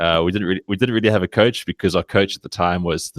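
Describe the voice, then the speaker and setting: With a South African accent, a man speaks very fast at a very deep, low pitch, with fairly even intonation and a dry, close sound with no echo. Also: very clean recording, silent background. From South Africa, Cape Town. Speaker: sports blogger. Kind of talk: podcast interview. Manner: halting, many fillers and restarts.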